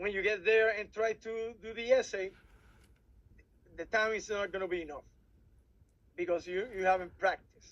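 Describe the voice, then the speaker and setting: At a moderate pace, a man with a Puerto Rican accent speaks at a high pitch with fairly even intonation. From Puerto Rico. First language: Spanish. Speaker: civil air patrol officer advising cadets. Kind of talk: workshop presentation. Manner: halting, frequent repetitions.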